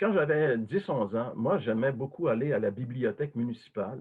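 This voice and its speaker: The speaker goes at a moderate pace with ordinary pitch variation. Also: man. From Quebec. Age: 60s. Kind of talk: testimony. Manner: hesitant, many fillers.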